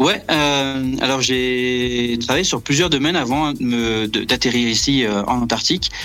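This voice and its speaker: Music is heard in the background. Over it, a man speaks at a medium pitch. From Brittany, France. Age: 30s. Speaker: astrophysics research assistant. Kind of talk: interview.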